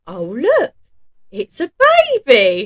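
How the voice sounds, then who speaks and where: A woman puts on a character voice at medium pitch, with very wide pitch swings. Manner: gruff.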